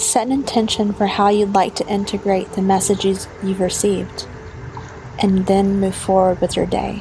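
Over noticeable background noise, a woman with a warm tone speaks at medium pitch and a moderate pace in a monotone, flat delivery. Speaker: meditation guide and podcast host. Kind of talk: guided meditation. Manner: soft-spoken, warm and dreamy.

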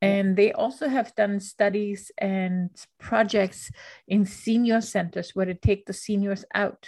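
A woman speaks at a fairly slow pace in a medium pitch, her voice somewhat breathy. Her pitch variation is ordinary, and the background is quiet. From Austria. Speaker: podcast host. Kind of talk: interview.

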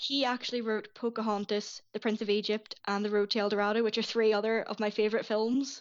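In a Northern Irish accent, a woman with a fairly high pitch races along at a very fast pace in a monotone, flat intonation with hardly any pauses. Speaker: writer and Disney film enthusiast. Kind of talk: casual chat. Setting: Skype call.

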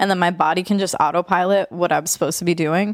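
A woman's medium-pitched voice with vocal fry, dry and close with no echo, on a very clean recording with a silent background. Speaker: podcast co-host, tattoo artist. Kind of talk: casual banter between friends. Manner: jokey, profane.

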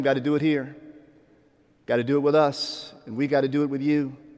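A man with an American accent, fairly high-pitched, at a fairly quick pace, with audible room echo. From Pittsburgh, Pennsylvania. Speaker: bishop. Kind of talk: sermon. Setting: church. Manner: animated.

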